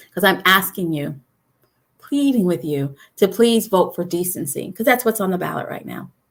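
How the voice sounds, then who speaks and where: Fairly quick speech from a woman, medium in pitch. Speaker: state party chair. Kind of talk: live video update. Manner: fast.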